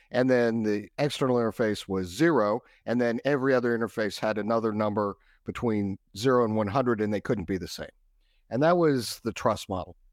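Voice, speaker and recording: On a very clean recording with a silent background, a man with an American accent speaks in a plain, everyday voice at medium pitch, at a fairly quick pace and with ordinary pitch variation. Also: dry, close sound with no echo. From Texas. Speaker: cybersecurity expert. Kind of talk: interview.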